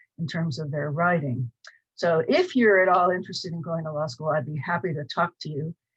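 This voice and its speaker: A woman with an American accent talks at a moderate pace in a fairly low, somewhat breathy voice with ordinary pitch variation. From US Midwest, Cleveland, Ohio. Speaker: professor. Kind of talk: lecture. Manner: hesitant, many fillers.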